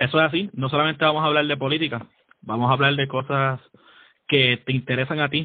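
A man talks at a fairly quick pace. His is an unremarkable speaking voice. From Puerto Rico (San Juan). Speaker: podcast co-host, army sergeant. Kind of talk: casual chat.

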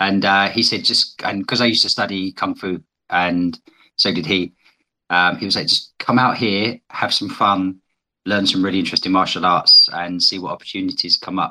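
A man speaks in a British accent with a fairly low pitch. His tone is bright and sharp, with fairly even intonation. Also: moderate pace. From Britain. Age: 40s. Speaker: guest, challenge participant. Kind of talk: interview conversation, personal reflection. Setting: online audio space. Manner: reflective, hesitant.

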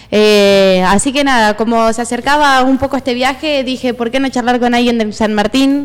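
A woman speaks at a high pitch and a moderate pace, with hardly any pauses. Her loudness stays very even and her intonation fairly even. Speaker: radio arts columnist. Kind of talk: casual chat.

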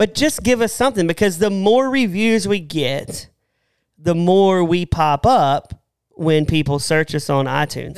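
A man in a Southern US accent, high-pitched with lively intonation, a fairly slow pace and very even loudness. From American South. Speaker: podcast co-host. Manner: casual, joking.

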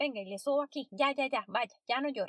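Her intonation is lively, and the woman's voice has a dry, close sound with no echo. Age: 30s. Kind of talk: solo podcast monologue.

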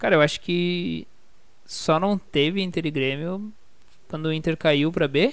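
Long pauses come often as the speaker talks fairly slowly. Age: 20s. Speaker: football podcast host. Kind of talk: casual chat.

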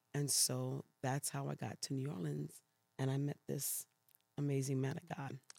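Dry, close sound with no echo, at a moderate pace. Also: woman. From New York City (Brooklyn, Queens), Puerto Rican family. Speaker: pastor. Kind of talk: interview testimony.

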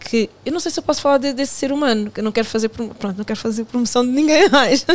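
A woman talks at a very fast pace. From Portugal, of Angolan family. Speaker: podcast guest. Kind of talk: casual chat.

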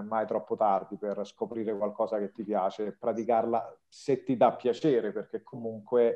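A man with a normal speaking voice, medium pitch and a fairly slow pace. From Lazio, province of Rome. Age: 40s. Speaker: writer and Italian teacher. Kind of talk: interview.

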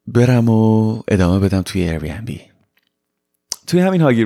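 A man speaks at a medium pitch with a dark, mellow tone. His pace is moderate and his pitch swings very widely. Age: 20s. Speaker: podcast host. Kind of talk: personal storytelling monologue. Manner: casual, mixing Persian and English.

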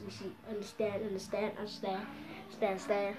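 Through noticeable background noise and audible room echo, a woman speaks at a medium pitch with monotone, flat intonation. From South Africa. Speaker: beginner podcaster. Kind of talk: casual monologue.

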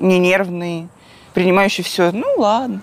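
Her medium-pitched voice moves at a moderate pace, and this woman keeps her intonation fairly even. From Krasnodar, southern Russia. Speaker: screenwriter and film director. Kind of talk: interview conversation.

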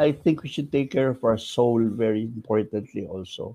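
A man's medium-pitched voice, dark and mellow in tone, at a fairly slow pace. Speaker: theater artist. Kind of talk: casual panel discussion.

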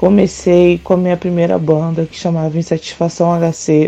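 Her voice is fairly low and her pace fairly slow. The woman's intonation stays monotone and flat. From Brazil, Rio de Janeiro. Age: 30s. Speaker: tattoo artist and punk musician. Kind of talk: interview.

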